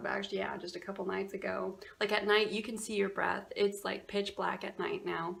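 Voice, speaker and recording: This woman's fairly high voice comes through over noticeable background noise. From Alaska, Fairbanks. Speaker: vlogger. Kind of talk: casual chat. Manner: animated.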